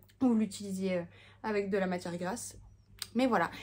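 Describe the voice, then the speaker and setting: The speaker is a woman with a somewhat breathy voice. She moves along at a fairly quick pace. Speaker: home cooking product vlogger. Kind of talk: casual vlog chat. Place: home room. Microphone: phone near.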